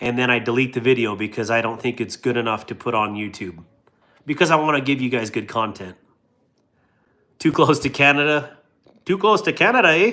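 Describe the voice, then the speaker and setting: A man with a North Dakota accent, medium in pitch, bright and sharp, with lively intonation, a fairly quick pace and long, frequent pauses. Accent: North Dakota accent, Norwegian-sounding. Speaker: YouTuber reviewing products. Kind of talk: casual chat.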